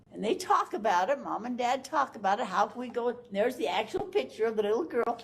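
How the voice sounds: The speaker reads in a natural reading voice.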